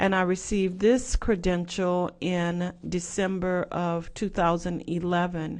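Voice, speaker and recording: At a fairly slow pace and with hardly any pauses, the speaker talks in a slight Southwest Louisiana accent. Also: woman, fairly low pitch for a woman, fairly even intonation, quiet background. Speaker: professor. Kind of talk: lecture.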